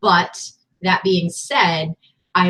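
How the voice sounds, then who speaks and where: Very slowly, a woman speaks with a fairly low pitch. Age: 40s. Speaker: online reseller and video host. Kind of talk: casual chat.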